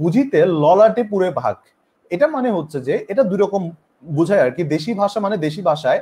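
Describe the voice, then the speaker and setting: A man's voice sits high in pitch yet has a dark, mellow tone. His intonation is lively. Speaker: online teacher. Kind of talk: live-streamed lecture. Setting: live stream.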